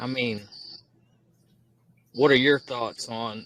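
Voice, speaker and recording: The tone is bright and sharp, with a Southern US accent. Intonation stays fairly even. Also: man. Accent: noticeable Southern US. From Georgia, US South. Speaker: audience member asking a question. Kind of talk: question in a group chat.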